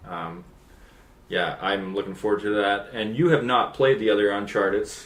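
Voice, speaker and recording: At a moderate pace, a man with a fairly low pitch uses a normal speaking voice with ordinary pitch variation. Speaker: gaming video co-host. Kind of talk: casual chat.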